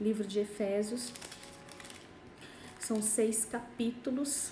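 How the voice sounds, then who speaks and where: A woman with a medium-pitched voice speaks very slowly and with fairly even intonation, and the room echo is audible. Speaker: pastor. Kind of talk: Bible study livestream. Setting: Instagram live.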